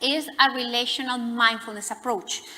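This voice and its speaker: A woman with a fairly high pitch at a moderate pace amid noticeable background noise. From Latin America. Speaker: psychotherapist. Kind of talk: lecture.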